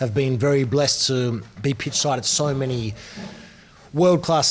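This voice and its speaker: A man speaks with an Australian accent at medium pitch and a moderate pace. Noticeable background noise runs behind him. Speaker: football broadcaster. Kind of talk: casual chat. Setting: restaurant.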